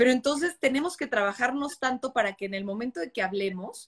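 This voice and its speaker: A woman's high voice rises and falls through very wide pitch swings. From Mexico. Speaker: journalist and live-stream host. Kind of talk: casual interview. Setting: live video stream.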